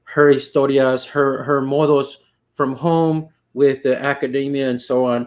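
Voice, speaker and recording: Talking at a fairly slow pace, a man with an American accent has a fairly high pitch. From US South, Rio Grande Valley, Texas. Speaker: poetry panel moderator. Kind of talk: panel discussion. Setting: video call. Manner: halting, many fillers.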